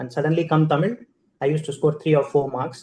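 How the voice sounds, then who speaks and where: A man with an Indian accent speaks at a very fast pace, his fairly high-pitched voice dark, mellow and somewhat breathy, with fairly even intonation. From India, Andhra Pradesh (Adoni, Kurnool district). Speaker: keynote speaker, corporate manager. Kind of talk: keynote speech, personal storytelling.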